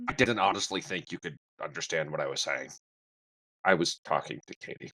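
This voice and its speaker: A man uses a raspy, put-on character voice with a very deep, low pitch at a fairly quick pace. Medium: actual play. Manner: blunt, defensive.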